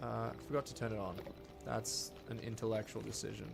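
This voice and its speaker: A man speaks with an American accent at a moderate pace. Noticeable background noise runs under his voice. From Australia. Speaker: gaming streamer and actor. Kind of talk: live gameplay stream. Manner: casual, chatty.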